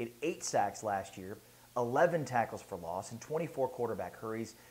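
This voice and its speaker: Lively intonation and a moderate pace run through an unremarkable speaking voice. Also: man. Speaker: sports YouTuber. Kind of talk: casual commentary.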